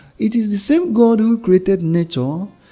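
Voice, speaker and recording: The voice moves at a moderate pace with music in the background. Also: man. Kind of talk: homily.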